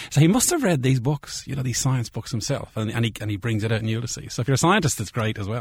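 Somewhat breathy, a man speaks in a Dublin accent at medium pitch. He uses ordinary pitch variation. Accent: Irish (Dublin area). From Ireland. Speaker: biochemistry professor. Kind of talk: casual interview chat. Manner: animated.

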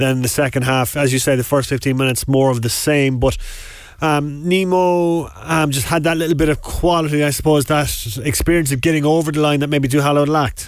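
A man with a Cork accent talks fairly quickly at a fairly high pitch, his loudness very even and his intonation fairly even. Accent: Cork Irish. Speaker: sports radio host. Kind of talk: radio sports show. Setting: studio.

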